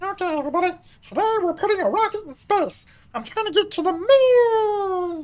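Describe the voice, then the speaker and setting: An extremely high-pitched, put-on character voice. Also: moderate pace. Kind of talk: exaggerated announcer voice. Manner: enthusiastic, performative.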